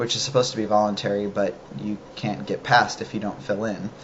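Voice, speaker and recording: There is noticeable background noise behind a man whose voice sits fairly low in pitch. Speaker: vlogger. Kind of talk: casual video diary. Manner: hesitant, many fillers.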